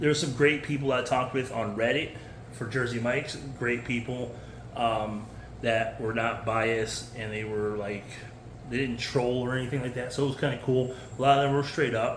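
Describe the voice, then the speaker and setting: Over noticeable background noise and audible room echo, a man speaks at a medium pitch in a monotone, flat intonation. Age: 40s. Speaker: food service worker vlogger. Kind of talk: unscripted casual monologue. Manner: fast.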